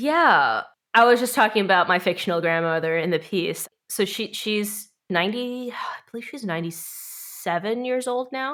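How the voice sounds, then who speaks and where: Against a very clean, silent background, a woman with a fairly high pitch talks at a moderate pace with lively intonation and hardly any pauses. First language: Korean. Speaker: performance artist and filmmaker. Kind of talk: casual podcast interview. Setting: podcast recording.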